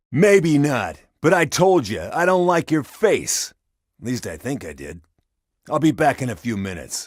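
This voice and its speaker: Very wide pitch swings mark this put-on character voice at a moderate pace. The recording is very clean, with a silent background. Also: man, fairly high pitch for a man. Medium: video game. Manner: gruff, contemptuous.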